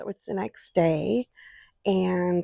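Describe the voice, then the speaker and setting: An unremarkable speaking voice, dry and close with no echo, on a very clean recording with a silent background. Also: woman. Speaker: vlogger. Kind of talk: casual vlog talk to camera. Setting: inside an RV.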